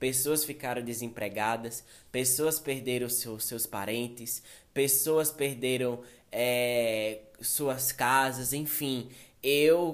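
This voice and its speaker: A man talks at a very slow pace. His voice sits at a medium pitch with ordinary pitch variation. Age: 20s. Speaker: podcaster, fashion model. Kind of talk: casual personal monologue. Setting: studio with editor present.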